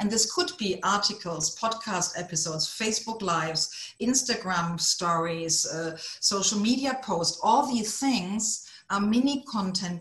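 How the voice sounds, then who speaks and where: A woman with a German accent speaks at a medium pitch and a fairly slow pace, with ordinary pitch variation. Noticeable background noise and audible room echo surround her voice. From Germany. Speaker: author coach. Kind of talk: online conference talk. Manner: animated.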